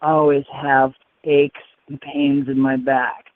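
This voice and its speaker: This is a man's voice. Its pitch is fairly high. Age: 60s. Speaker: testimonial caller, hand cyclist with polio. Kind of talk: testimony. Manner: halting.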